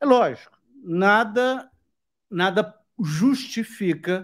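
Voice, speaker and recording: A man speaks over a quiet background. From Brazil. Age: 40s. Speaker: YouTube host. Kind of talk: live interview. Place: home room. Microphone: studio mic.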